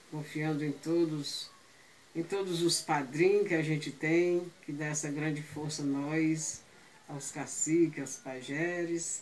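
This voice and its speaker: A woman speaks very slowly at a very deep, low pitch, her intonation monotone and flat. Noticeable background noise runs underneath. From Brazil, Ceará (Aquiraz). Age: 70s. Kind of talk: oral history storytelling. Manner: halting.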